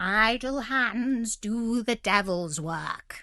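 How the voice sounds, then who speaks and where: Putting on a character voice, a woman speaks very slowly at a fairly high pitch. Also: ordinary pitch variation. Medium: read story. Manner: blustering, bossy.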